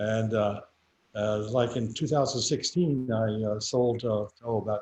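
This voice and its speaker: This man talks at a moderate pace. His voice is somewhat breathy. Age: 80s+. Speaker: vintage radio collector. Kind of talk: show-and-tell on video call. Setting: video call from his garage. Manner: halting, many fillers.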